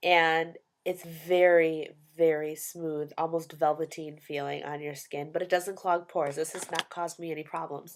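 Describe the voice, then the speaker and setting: Big swings in loudness on a very clean recording with a silent background. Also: woman, fairly low pitch for a woman. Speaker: beauty vlogger. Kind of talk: product review monologue. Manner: fast; animated.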